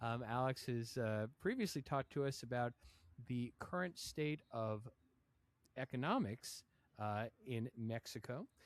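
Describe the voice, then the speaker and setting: A man with a plain, everyday voice at medium pitch, fairly slow in pace, with ordinary pitch variation, dry and close with no echo, in a very clean recording with a silent background. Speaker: podcast host. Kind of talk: podcast intro.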